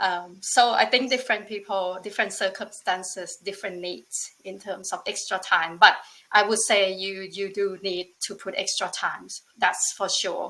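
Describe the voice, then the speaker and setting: A woman speaks at a fairly slow pace with a medium pitch. Her tone is bright and sharp, with ordinary pitch variation. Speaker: former bootcamp student. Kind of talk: webinar testimony.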